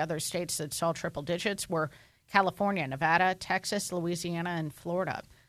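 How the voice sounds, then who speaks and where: Over a quiet background, a woman with a plain, everyday voice speaks at a fairly low pitch with ordinary pitch variation. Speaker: morning radio show co-host. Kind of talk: morning radio news and interviews.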